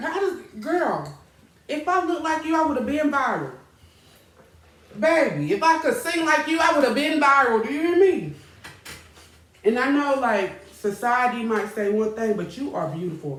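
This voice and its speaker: Loud and animated, a woman speaks at a high pitch with very wide pitch swings and long, frequent pauses, her voice carrying audible room echo. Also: moderate pace. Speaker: talk show host. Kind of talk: casual chat.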